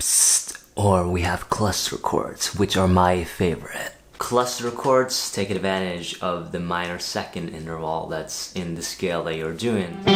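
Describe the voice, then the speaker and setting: A man with a very deep, low pitch at a fairly slow pace, with noticeable background noise. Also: ordinary pitch variation, hardly any pauses. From Norway. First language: Norwegian. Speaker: guitarist and guitar teacher. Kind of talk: tutorial. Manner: casual, conversational.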